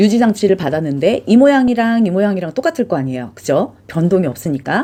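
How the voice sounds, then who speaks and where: A woman's voice has a dark, mellow tone and very wide pitch swings. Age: middle-aged. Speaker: vlogger. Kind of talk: review vlog. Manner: casual, chatty.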